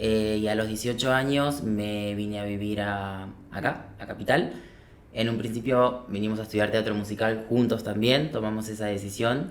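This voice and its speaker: With audible room echo, a man with a fairly low pitch speaks at a moderate pace and with fairly even intonation. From Argentina, Paraná, Entre Ríos. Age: 30s. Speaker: business owner, former musical theatre performer. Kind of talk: casual interview. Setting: podcast studio.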